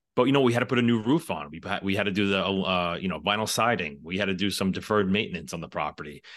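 In a New York accent, a man talks at a very fast pace with a very deep, low pitch. His pitch varies in an ordinary way, and the background is quiet. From New York City. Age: 40s. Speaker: firefighter and real estate investor. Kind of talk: interview.

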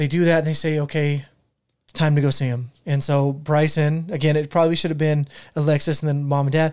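A man's fairly high, monotone voice with flat intonation at a fairly quick pace. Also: very even loudness. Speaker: podcast co-host. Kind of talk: casual chat. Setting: studio. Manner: casual, jokey, laughs often.

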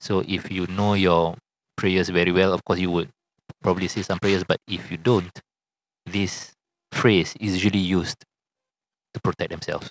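In a Singaporean accent, a man speaks at a moderate pace with very deep, low pitch and monotone, flat intonation, leaving long, frequent pauses. The sound is dry and close, with no echo. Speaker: podcast co-host. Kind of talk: casual chat.

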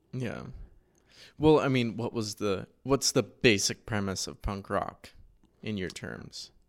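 Speaking at a very slow pace with long, frequent pauses, a man uses a fairly low voice with vocal fry and big swings in loudness, on a very clean recording with a silent background. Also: ordinary pitch variation. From central Oregon, US. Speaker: podcast host and artist. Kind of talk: casual chat.

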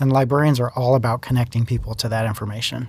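In a very clean recording with a silent background, a man with a plain, everyday voice speaks at a fairly quick pace with fairly even intonation. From US, child of Italian immigrants. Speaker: school district library director. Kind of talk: podcast interview.

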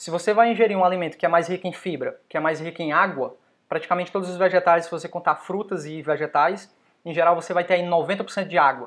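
A very fast pace, fairly even intonation and big swings in loudness against a quiet background. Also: man, high pitch for a man. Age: 30s. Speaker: fitness youtuber. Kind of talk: casual chat. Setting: livestream.

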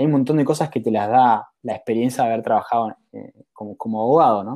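On a very clean recording with a silent background, a man with a Rioplatense accent and a dark, mellow tone speaks at a moderate pace with ordinary pitch variation. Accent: Argentine Rioplatense Spanish. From Argentina, Mar del Plata. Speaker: startup founder, former lawyer. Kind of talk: interview.

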